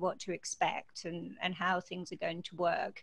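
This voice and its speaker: Vocal fry runs through a woman's voice. She keeps a moderate pace. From Scottish Highlands. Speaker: university dean. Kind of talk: interview answer.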